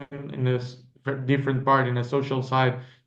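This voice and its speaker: A man's medium-pitched voice in monotone, flat intonation, with audible room echo. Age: 20s. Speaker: sailor. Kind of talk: interview.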